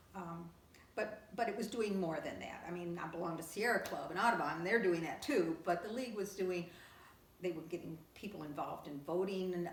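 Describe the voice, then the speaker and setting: This voice moves at a fairly quick pace with ordinary pitch variation over noticeable background noise. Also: woman, fairly low pitch for a woman. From Kentucky. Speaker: League of Women Voters lifetime member. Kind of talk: oral history interview answer.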